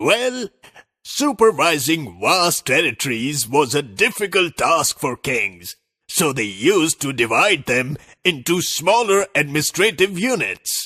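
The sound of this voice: A man does a cartoonish character voice at a fairly high pitch. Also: fairly slow pace, very clean recording, silent background.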